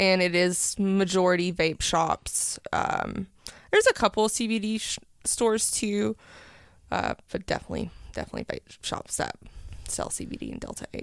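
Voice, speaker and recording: A woman with an East Tennessee accent at medium pitch and moderate pace, fairly even intonation, big swings in loudness, very clean recording with a silent background. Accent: East Tennessee Southern. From East Tennessee (Powell, near Knoxville). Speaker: cannabis shop owner. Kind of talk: casual interview chat. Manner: hesitant with many fillers.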